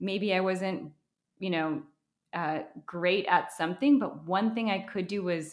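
A woman with an American accent uses a normal speaking voice at medium pitch with ordinary pitch variation, at a fairly slow pace, on a very clean recording with a silent background. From Wisconsin, US Midwest. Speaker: business founder. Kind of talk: interview.

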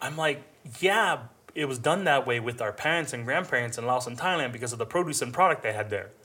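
A man with an ordinary speaking voice talks at a fairly quick pace, medium in pitch with lively intonation. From Hmong refugee family, raised in US. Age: 30s. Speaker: chef. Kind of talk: interview.

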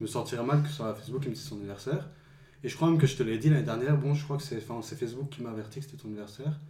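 A man talks at a very fast pace in a dark, mellow, somewhat breathy tone, with big swings in loudness. Room echo is audible. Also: medium pitch for a man, ordinary pitch variation. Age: 20s. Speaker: friend of host. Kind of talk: casual chat.

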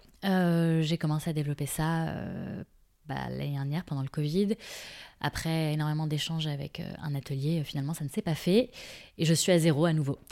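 A woman with a very deep, low pitch speaks at a moderate pace, her intonation fairly even and her tone dark and mellow. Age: 30s. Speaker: shoe brand founder. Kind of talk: interview. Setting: brand showroom. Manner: hesitant, many fillers.

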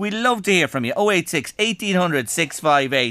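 A man with an Irish accent, a bright, sharp tone and lively intonation, at a fairly slow pace. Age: 60s. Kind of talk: radio show chat.

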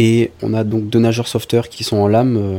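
Speaking at a moderate pace, a man has a medium-pitched voice, a dark, mellow tone and flat, monotone intonation. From southern France, Var coast (Sanary-sur-Mer). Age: 20s. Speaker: lifeguard and nursing student. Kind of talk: testimony.

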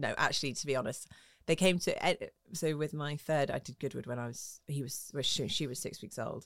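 Talking at a fairly quick pace in a southern English accent, a woman with a very deep, low pitch shows ordinary pitch variation on a very clean recording with a silent background. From southwest London, England. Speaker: motorsport TV presenter. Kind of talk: interview.

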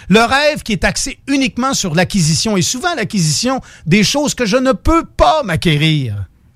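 With a Quebec accent, a man talks in very wide pitch swings. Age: 50s. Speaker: radio co-host. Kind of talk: casual chat. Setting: radio studio.

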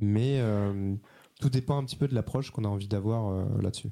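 In a very clean recording with a silent background, a man with a dark, mellow tone speaks at a fairly quick pace with ordinary pitch variation. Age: 30s. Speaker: journalist. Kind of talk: interview.

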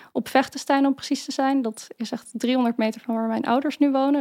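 The recording is very clean, with a silent background and a dry, close sound with no echo. A woman speaks at a high pitch and a moderate pace, with fairly even intonation. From Netherlands, Maarssen (Utrecht province). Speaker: researcher and political staffer. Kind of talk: interview. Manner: hesitant, many fillers.

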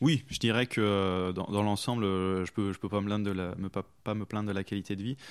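With a normal speaking voice, a man talks at a moderate pace and a fairly low pitch, with fairly even intonation and hardly any pauses, on a very clean recording with a silent background. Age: 20s. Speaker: video game user researcher. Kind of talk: interview.

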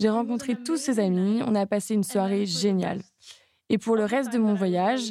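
Speaking at a moderate pace, this woman has a plain, everyday voice and fairly even intonation. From Hungary and South America. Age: young. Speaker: interviewee. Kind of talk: interview testimony.

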